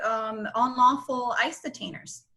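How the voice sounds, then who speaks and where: A woman's normal speaking voice at a fairly slow pace. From Nicaragua, raised in South Florida. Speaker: lawyer and political candidate. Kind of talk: interview. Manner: fillers and repetitions, conversational.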